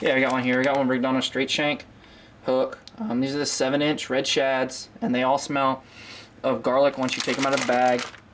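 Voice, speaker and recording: A man with an American accent, medium pitch, and a fairly quick pace, flat monotone intonation and very even loudness over noticeable background noise. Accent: slips into a southern US. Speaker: fishing YouTuber. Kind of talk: casual tutorial to camera. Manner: frequent filler 'um', casual.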